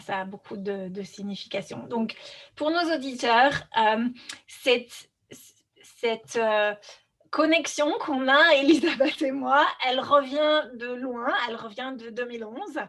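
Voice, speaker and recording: High-pitched woman's speech at a very slow pace, ordinary pitch variation and big swings in loudness. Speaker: podcast host. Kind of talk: interview conversation.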